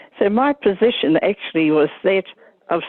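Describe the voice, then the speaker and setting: The voice carries a New Zealand accent. Its intonation is lively. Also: woman. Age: 80s+. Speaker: retired nurse union advocate. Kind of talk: panel reflection. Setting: conference panel.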